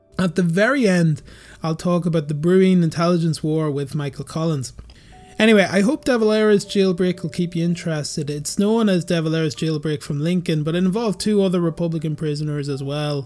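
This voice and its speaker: Over noticeable background noise, a man talks at a fairly quick pace in a high pitch. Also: ordinary pitch variation. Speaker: history YouTuber. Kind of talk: documentary narration.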